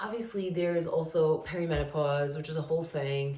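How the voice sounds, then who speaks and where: A woman with a very deep, low pitch speaks in an animated tone at a fairly quick pace. Audible room echo and noticeable background noise fill the recording. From New England, Rhode Island. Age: 40s. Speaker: lifestyle vlogger. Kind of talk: casual chat.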